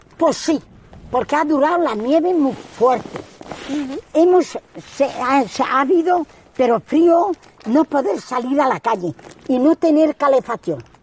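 A woman's high-pitched voice at a fairly slow pace, with lively intonation, long and frequent pauses, a dry, close sound with no echo, and noticeable background noise. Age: 80s+. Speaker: retired rural villager. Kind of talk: oral history interview.

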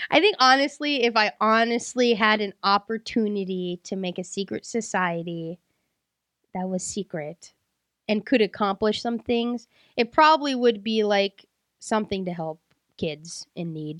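A woman with an ordinary speaking voice and lively intonation talks at a fairly slow pace over a quiet background. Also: medium pitch for a woman. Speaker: podcast host. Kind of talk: casual chat.

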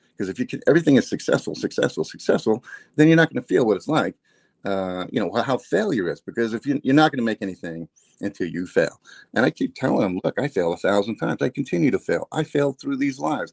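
A man with an American accent talks at a very fast pace, his medium-pitched voice showing vocal fry and very wide pitch swings. The sound is dry and close with no echo. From New Jersey. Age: 50s. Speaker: online business owner. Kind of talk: interview. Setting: live video stream.

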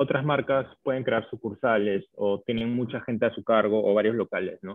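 With a Peruvian accent, a man speaks at medium pitch and with fairly even intonation. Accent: Peruvian Spanish (Lima). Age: 20s. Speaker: chef and food business owner. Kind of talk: interview. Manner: hesitant, many fillers.

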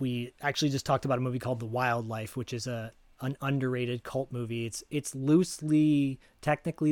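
Very fast and fairly even, a man speaks at medium pitch with an American accent. The recording is very clean, with a silent background and a dry, close sound with no echo. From US Midwest (Detroit area, Michigan). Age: 40s. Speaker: voice actor and podcast co-host. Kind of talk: casual chat.

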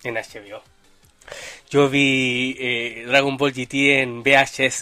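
A man's fairly high voice in a Chilean accent, with noticeable background noise. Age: 20s. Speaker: podcast host. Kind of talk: casual livestream podcast chat. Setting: live stream with chat.

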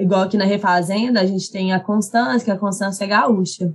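With a mineiro accent, a woman speaks at a medium pitch and a moderate pace. Her voice is somewhat breathy, and her intonation fairly even. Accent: mineiro accent, regained. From Minas Gerais, Brazil (Carmópolis). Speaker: actress and content creator. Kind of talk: casual interview chat.

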